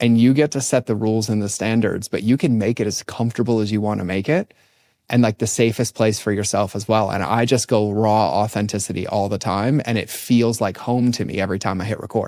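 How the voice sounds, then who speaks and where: Heard in a very clean recording with a silent background, a man talks at a fairly quick pace in a dark, mellow tone with fairly even intonation. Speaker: podcaster. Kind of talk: casual chat. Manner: high energy.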